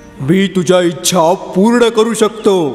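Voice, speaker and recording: Doing a cartoonish character voice, a man speaks at a high pitch over clear background music, with a clear echo. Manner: chuckling, playful.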